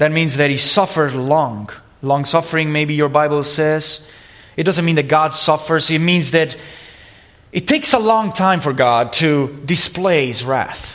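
A man speaks at a fairly slow pace with an Italian accent and a fairly high pitch. His pitch varies an ordinary amount, with audible room echo and noticeable background noise. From Italy. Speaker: preacher. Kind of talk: sermon.

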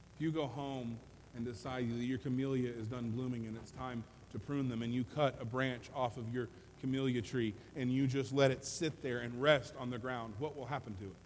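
A man with an ordinary speaking voice talks fairly quickly, his pitch medium and his intonation fairly even. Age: 40s. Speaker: pastor. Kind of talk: sermon. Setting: church. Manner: humorous.

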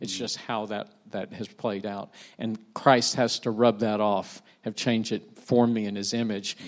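A man with an American accent, fairly low in pitch, monotone and flat, at a fairly slow pace. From United States. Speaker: church community builder. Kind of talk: panel conversation.

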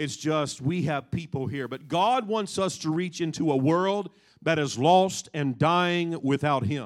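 In a very clean recording with a silent background, a man with an ordinary speaking voice talks at a fairly slow pace and fairly high pitch, with ordinary pitch variation. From Kansas, US Midwest. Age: 40s. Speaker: pastor. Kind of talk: sermon.

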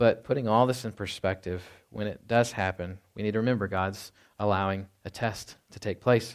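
An ordinary speaking voice from a man, fairly low-pitched, at a moderate pace, with fairly even intonation, big swings in loudness, and a very clean recording over a silent background. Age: 30s. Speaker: pastor. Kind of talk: sermon. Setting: church.

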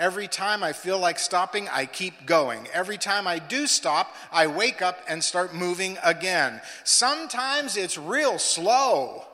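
Over noticeable background noise, a man with a high pitch uses a raised, projected voice, an animated tone, and lively intonation at a fairly slow pace. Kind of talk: sermon. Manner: animated, rhythmic preacher's delivery that builds through repetition; exhorting, call-and-response with congregation.

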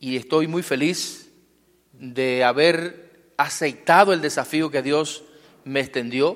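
Someone speaks at a very slow pace in a Cuban accent, with ordinary pitch variation. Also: man. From Cuba, Guantánamo. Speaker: pastor. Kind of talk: testimony. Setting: church.

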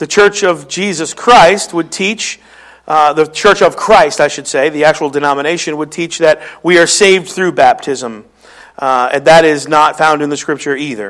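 A man with a Philadelphia accent and a fairly high pitch talks at a moderate pace with ordinary pitch variation. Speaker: pastor preaching a sermon. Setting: church service. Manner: conversational preaching style.

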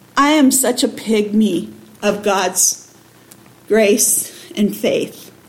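Noticeable background noise surrounds a woman speaking. Her fairly high voice carries an American accent. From raised abroad as missionary kid (Pakistan/Bangladesh), born Michigan. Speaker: missionary, anti-trafficking ministry leader. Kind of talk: testimony. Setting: church.

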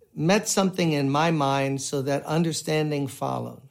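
A man with an American accent has a plain, everyday voice at a fairly high pitch. He talks at a moderate pace on a very clean recording with a silent background. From US Northeast, Brooklyn, New York. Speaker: pastor. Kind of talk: sermon.

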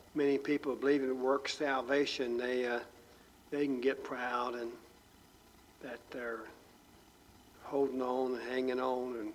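A man with a medium-pitched voice speaks at a fairly slow pace in a monotone, flat intonation. Long, frequent pauses break up his speech, and audible room echo surrounds it. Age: old. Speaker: pastor. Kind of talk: sermon.

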